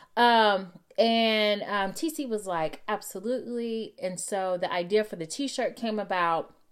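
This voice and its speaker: A woman with a Texan accent speaks fairly slowly in an animated tone, with ordinary pitch variation. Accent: Texan American English. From Texas. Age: 40s. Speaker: real estate agent. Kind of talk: solo podcast monologue.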